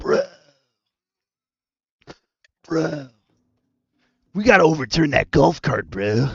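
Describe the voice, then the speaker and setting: The speaker uses a put-on character voice. It moves at a fairly slow pace, with long, frequent pauses. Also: man, fairly high pitch for a man. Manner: put-on cartoon voice.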